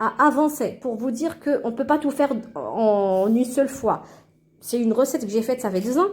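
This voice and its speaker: Speaking with a non-native accent at a moderate pace, a woman uses a high pitch and lively intonation in a very clean recording with a silent background. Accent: foreign accent in French. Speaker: cooking channel host. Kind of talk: cooking tutorial. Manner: halting, many hesitations.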